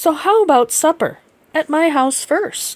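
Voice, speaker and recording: A woman speaks in a put-on character voice that is squeaky and extremely high-pitched. Her pace is fairly slow. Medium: read story. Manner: eager.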